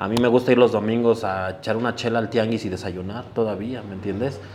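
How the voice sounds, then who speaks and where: Over noticeable background noise, a man with a fairly low pitch talks at a fairly quick pace with fairly even intonation. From Mexico City, Iztapalapa. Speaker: sneaker event organizer. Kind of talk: casual interview chat.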